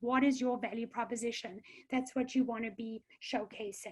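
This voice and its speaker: Fairly slow speech in a South African accent against a quiet background. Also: woman. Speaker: career counselor. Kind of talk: webinar presentation. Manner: hesitant with many fillers.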